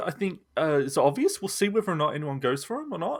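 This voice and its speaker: A bright, sharp voice with an Australian accent, very wide pitch swings and a moderate pace, in a very clean recording with a silent background. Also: man. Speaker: gaming podcast host. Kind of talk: casual chat.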